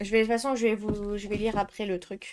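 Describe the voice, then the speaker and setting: Here a woman with a French accent talks at a fairly high pitch. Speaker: art youtuber. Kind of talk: unboxing video. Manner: casual, hesitant with fillers.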